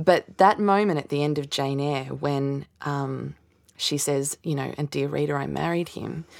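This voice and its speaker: A woman with an Australian accent speaks at a fairly slow pace. Her voice is very deep and low, with ordinary pitch variation. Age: 30s. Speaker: novelist. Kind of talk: casual interview.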